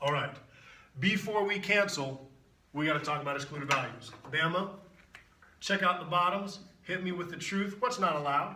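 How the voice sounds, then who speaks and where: A man speaks in a high voice with long, frequent pauses, amid audible room echo and noticeable background noise. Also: ordinary pitch variation. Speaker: math teacher. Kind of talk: tutorial. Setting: video recording with on-camera guest. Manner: animated; fast.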